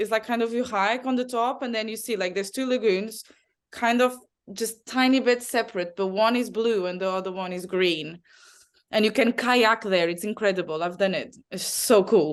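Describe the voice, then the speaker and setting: A woman speaks at a moderate pace with a fairly high pitch and ordinary pitch variation. The background is quiet. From Azores, Portugal. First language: Portuguese. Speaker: travel advisor. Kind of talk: interview answer.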